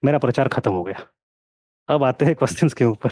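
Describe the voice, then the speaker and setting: Lively intonation marks a man's dark, mellow tone at a moderate pace, in a dry, close sound with no echo. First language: not Hindi (speaking Hindi). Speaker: history teacher. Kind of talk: online lecture with live Q&A. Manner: code-switching Hindi and English.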